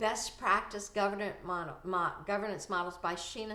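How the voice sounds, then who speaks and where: A woman with an unremarkable speaking voice talks at a fairly slow pace, her medium pitch held in fairly even intonation. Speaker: anesthesia billing consultant and conference speaker. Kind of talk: casual video talk with screen share.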